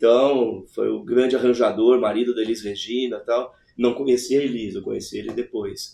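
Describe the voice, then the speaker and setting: Hardly any pauses break up this man's speech, which moves at a moderate pace. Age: 60s. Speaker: alchemist and former music producer. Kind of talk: casual interview conversation.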